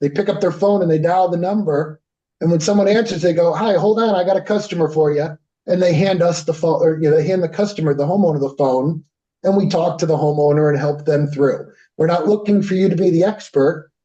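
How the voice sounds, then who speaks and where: A man with a Connecticut accent speaks at a fairly quick pace and a high pitch. His intonation is fairly even and his loudness very even. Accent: US Northeast (Connecticut). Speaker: company representative presenting a service. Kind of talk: business presentation with Q&A. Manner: fast.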